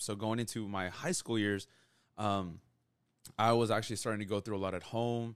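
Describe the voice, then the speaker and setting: A man with a normal speaking voice, fairly low in pitch and fairly even in intonation, talks at a fairly quick pace in a very clean recording with a silent background. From Texas, Rio Grande Valley. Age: 20s. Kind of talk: closing prayer; casual chat, faith testimony.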